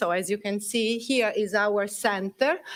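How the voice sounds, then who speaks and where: On a very clean recording with a silent background, a woman with an Italian accent speaks at a fairly slow pace, her fairly high pitch showing ordinary variation. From Italy. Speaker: Italian language teacher and cultural center president. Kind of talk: presentation. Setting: council chambers at a festival.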